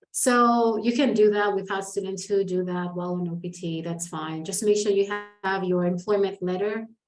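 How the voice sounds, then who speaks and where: Over music in the background, a woman of medium pitch talks at a moderate pace. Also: fairly even intonation. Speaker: international student advisor. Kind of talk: Q&A session.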